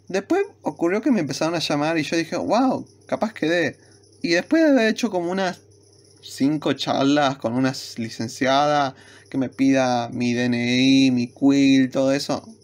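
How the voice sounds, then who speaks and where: The speaker talks at a fairly slow pace with a Rioplatense accent. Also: very clean recording, silent background. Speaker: university student YouTuber. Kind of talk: casual vlog talk to camera.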